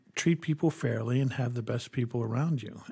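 On a very clean recording with a silent background, a man speaks at a moderate pace. His voice is somewhat breathy, with ordinary pitch variation. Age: 60s. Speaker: bank CEO. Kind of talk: interview discussion on banking policy.

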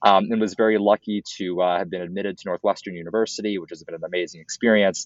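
A man with a fairly low pitch speaks in a flat monotone at a very fast pace with hardly any pauses. His loudness swings a lot. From Minnesota, Minneapolis. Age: 20s. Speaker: college student and entrepreneur. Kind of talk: interview.

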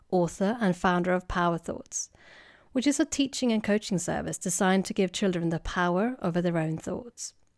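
A woman speaks with a Swedish accent at a fairly quick pace and ordinary pitch variation. The recording is very clean, dry and close, with no echo and a silent background. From Sweden. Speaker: clinical psychologist and podcast host. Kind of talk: scripted introduction.

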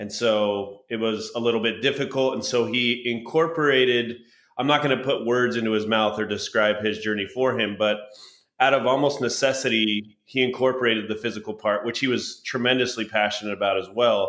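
Here is a man with an unremarkable speaking voice and an American accent. He talks at a fairly quick pace with fairly even intonation. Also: medium pitch for a man. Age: 30s. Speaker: mental health advocate and former baseball player. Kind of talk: guided meditation; interview.

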